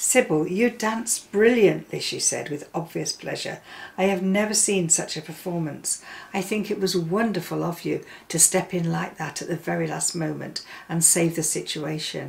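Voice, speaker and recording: Her voice sits at a fairly low pitch for a woman and carries vocal fry. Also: ordinary pitch variation, moderate pace. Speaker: story reader. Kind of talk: reading aloud a vintage girls' story, storybook narration. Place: home room.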